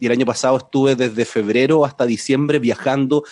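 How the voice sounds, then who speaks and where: A man with a Chilean accent talks at a fairly quick pace and a medium pitch, with ordinary pitch variation. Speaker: science communicator, TV series presenter. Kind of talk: casual chat.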